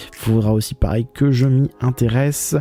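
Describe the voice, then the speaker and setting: A man talks at a fairly slow pace. Behind him, music is playing. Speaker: manga vlogger. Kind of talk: casual vlog commentary in bookshop. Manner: stammering, halting; casual, many fillers.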